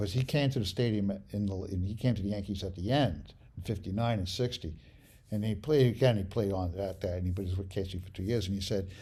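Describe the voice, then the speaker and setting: A man with an American accent speaks at a fairly quick pace in a somewhat breathy, dark, mellow, fairly low voice with ordinary pitch variation. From New York City, the Bronx. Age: 70s. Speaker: sports photographer. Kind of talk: interview. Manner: halting.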